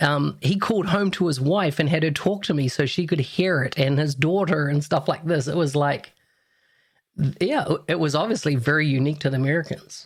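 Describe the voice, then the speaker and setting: On a very clean recording with a silent background, a somewhat breathy man with a New Zealand accent talks at a fairly quick pace and fairly high pitch, with ordinary pitch variation and very even loudness. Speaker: podcast host. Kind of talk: podcast interview.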